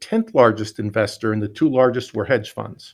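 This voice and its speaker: A man with an American accent and a normal speaking voice talks at a moderate pace and medium pitch. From Pennsylvania (Scranton). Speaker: utility CEO. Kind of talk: interview.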